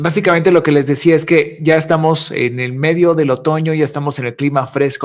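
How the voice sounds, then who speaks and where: A man with a fairly high pitch keeps up a fairly quick pace over a quiet background. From Monterrey, northern Mexico. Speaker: commercial voice-over announcer. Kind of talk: interview answer. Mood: jokey, laughing. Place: office. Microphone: studio mic.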